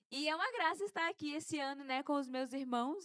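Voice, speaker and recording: A woman with an animated tone and ordinary pitch variation, in a dry, close sound with no echo. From Brazil, Pará (Marabá). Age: 20s. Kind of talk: casual podcast chat.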